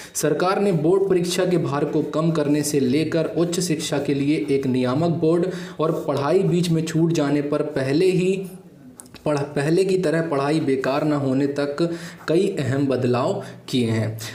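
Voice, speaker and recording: A man speaks with a Gujarati accent at a fairly high pitch, his loudness very even and his intonation fairly even. Audible room echo and noticeable background noise are present. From Gujarat, India. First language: Gujarati (speaking Hindi). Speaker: exam-prep YouTube teacher. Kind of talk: educational explainer.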